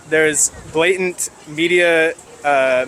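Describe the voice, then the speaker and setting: The voice belongs to a man with a fairly high pitch. Background noise is noticeable. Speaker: protester. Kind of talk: street interview. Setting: outdoors at a protest. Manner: articulate, measured.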